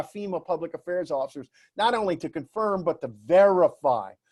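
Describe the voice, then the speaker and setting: A high-pitched man with an American accent, dry and close with no echo, in a very clean recording with a silent background. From US South, New Orleans. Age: 60s. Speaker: public relations speaker. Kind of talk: presentation talk. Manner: animated, with many fillers.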